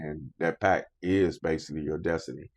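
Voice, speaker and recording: With an American accent, a man speaks at a fairly slow pace and fairly even intonation, the sound dry and close with no echo over a quiet background. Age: 70s. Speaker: college professor. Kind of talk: interview.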